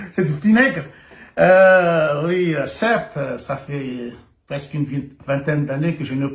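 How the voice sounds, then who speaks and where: The man's voice is somewhat breathy. His intonation is lively. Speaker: video blogger. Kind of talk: satirical video monologue. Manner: halting.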